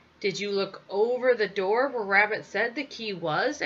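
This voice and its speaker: This woman adopts a put-on character voice, keeping to a medium pitch at a moderate speed. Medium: read story. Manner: sweetly sly.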